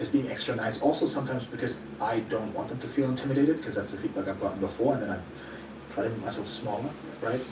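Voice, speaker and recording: Recorded with audible room echo and noticeable background noise, a man speaks at a medium pitch. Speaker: YouTuber interviewer. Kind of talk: interview conversation. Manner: fast; sometimes stumbling over words.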